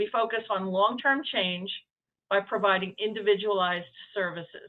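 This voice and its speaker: The speaker has a New York accent and fairly even intonation. The pace is moderate. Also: woman. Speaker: nonprofit executive director. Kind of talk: presentation. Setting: hybrid meeting, remote call. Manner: hesitant, many fillers.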